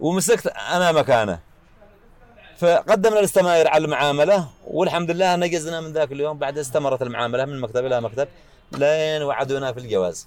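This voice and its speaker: A man speaks at a moderate pace in a fairly high voice, his intonation lively. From Yemen, Yafa highlands. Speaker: tyre repair shop owner. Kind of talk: personal life story. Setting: his workshop. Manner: halting.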